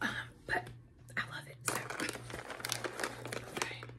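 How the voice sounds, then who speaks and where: A woman talks over loud background noise. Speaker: ASMR creator. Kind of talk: ASMR snack tasting, soft spoken. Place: home room. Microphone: phone near.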